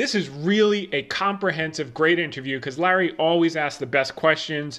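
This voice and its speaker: Speaking with an American accent, a man uses a normal speaking voice at a fairly high pitch and a moderate pace. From New Jersey, Bergen County. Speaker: finance podcast host. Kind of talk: market commentary.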